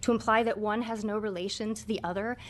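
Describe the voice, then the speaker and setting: Her intonation fairly even, a woman talks at a very fast pace. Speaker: public hearing witness. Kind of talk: testimony. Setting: legislative committee hearing.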